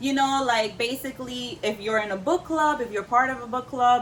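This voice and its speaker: Animated in tone, a woman with a New York accent speaks at a high pitch and a moderate pace. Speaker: book YouTuber. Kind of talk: casual vlog talk.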